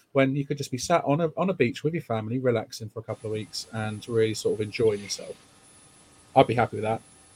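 The man's medium-pitched voice is somewhat breathy, with ordinary pitch variation. He talks at a very fast pace, and the sound is dry and close with no echo. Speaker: podcast host. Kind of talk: casual chat about football.

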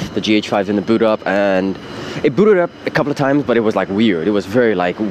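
A fairly low-pitched man against noticeable background noise. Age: 20s. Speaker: podcaster and video maker. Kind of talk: casual monologue. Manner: informal, filler-heavy.

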